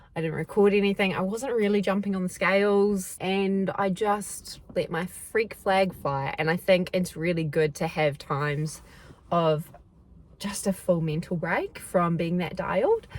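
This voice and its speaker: This woman speaks in a New Zealand accent at a medium pitch and a fairly slow pace. Her tone is animated. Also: ordinary pitch variation. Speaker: athlete vlogger. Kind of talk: casual vlog chat. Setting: in a car.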